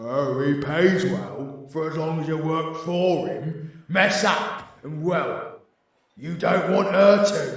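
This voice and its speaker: A man uses a put-on character voice at a very slow pace, with a slight echo. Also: fairly high pitch for a man. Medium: audio drama. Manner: crude, swearing.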